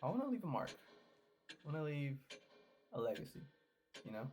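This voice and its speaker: The man's voice comes across as somewhat breathy. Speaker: gaming YouTuber. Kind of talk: casual vlog monologue. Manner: soft-spoken; halting, repetitive.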